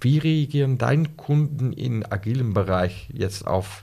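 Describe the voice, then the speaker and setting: On a very clean recording with a silent background, a man with a Dutch accent talks at medium pitch with lively intonation. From Netherlands. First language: Dutch (speaking German). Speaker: Lego Serious Play facilitator. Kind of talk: casual podcast interview. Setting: in person in the host's office. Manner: halting, searching for words.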